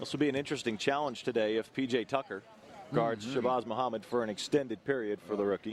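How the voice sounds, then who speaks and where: Over noticeable background noise, a man talks at a very fast pace. His medium pitch carries fairly even intonation. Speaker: basketball play-by-play announcer. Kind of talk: sports play-by-play broadcast.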